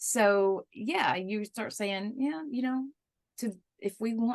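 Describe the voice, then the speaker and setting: Medium-pitched, a woman speaks against a quiet background. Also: dry, close sound with no echo. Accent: Southern US. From US South. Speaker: interviewer. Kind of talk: interview. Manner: halting, many fillers.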